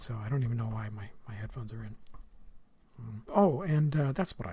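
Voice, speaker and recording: There's ordinary pitch variation in this man's medium-pitched, somewhat breathy voice. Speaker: podcast host.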